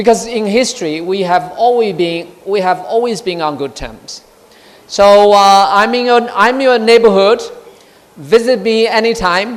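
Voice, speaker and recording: Someone with a Chinese accent talks at a fairly slow pace over noticeable background noise. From China. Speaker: diplomat. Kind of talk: speech. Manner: halting.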